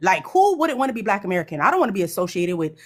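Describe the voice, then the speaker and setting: A woman's medium-pitched voice on a very clean recording against a silent background. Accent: New York. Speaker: panel participant on live stream. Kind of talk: live stream panel commentary.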